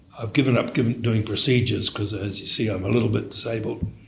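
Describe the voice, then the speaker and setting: A man with a New Zealand accent, a very fast pace, and monotone, flat intonation. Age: 70s. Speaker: radiologist. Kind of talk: interview. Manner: halting, with frequent repetitions.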